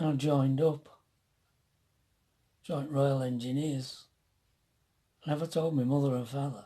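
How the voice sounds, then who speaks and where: With a Yorkshire accent, a man with a fairly high pitch and a dark, mellow tone speaks somewhat breathily at a moderate pace with long, frequent pauses. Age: 70s. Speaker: retired motorhome vlogger, army veteran. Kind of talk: casual storytelling. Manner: halting.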